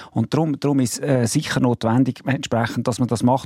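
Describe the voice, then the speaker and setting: A man talks at a fairly quick pace, medium in pitch, in an ordinary speaking voice. The sound is dry and close with no echo. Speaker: car industry association president. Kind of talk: radio debate. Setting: studio.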